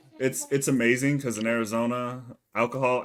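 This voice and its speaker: A man talks at a fairly quick pace with fairly even intonation and a medium pitch. He has a normal speaking voice. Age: 20s. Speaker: gaming podcast co-host. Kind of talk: casual chat.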